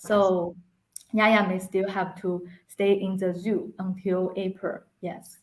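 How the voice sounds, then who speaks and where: In a Chinese accent, a woman speaks very slowly with flat, monotone intonation. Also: medium pitch for a woman. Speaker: animal rights activist. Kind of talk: interview.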